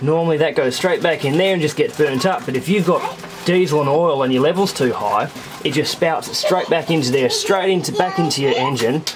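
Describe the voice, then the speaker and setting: A man's fairly quick speech with ordinary pitch variation, very even loudness, and noticeable background noise. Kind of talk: casual vlog explanation. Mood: calm, slightly weary. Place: boat. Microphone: phone near.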